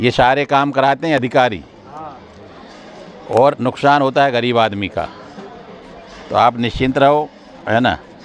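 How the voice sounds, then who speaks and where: Over noticeable background noise, a man at medium pitch keeps a very even loudness and leaves long, frequent pauses. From India, Madhya Pradesh (Ashoknagar). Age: 60s. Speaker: politician, legislator. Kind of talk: speech to residents at a local gathering. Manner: animated.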